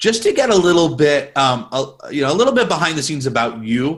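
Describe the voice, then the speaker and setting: Talking at a fairly quick pace, a man lets his pitch swing very widely. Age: 30s. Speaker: magician interviewing a guest; interview guest. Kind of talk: casual interview. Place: home room. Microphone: earbuds.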